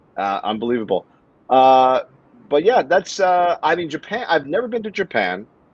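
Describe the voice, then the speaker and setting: Against a quiet background, a man with an American accent speaks at a moderate pace, his fairly high pitch swinging very widely. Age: 50s. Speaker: comedian, talk streamer. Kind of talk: casual interview.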